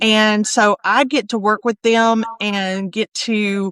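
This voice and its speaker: The speaker is a woman with a South Alabama accent. Her voice sits at a fairly high pitch. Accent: Southern US (South Alabama). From US South (South Alabama). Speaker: copy editor and proofreader. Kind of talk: interview conversation.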